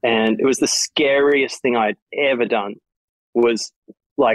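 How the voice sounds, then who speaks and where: With an Australian accent, a man speaks at a medium pitch and with fairly even intonation, the sound dry and close with no echo. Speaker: electronic music DJ and producer. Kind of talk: interview.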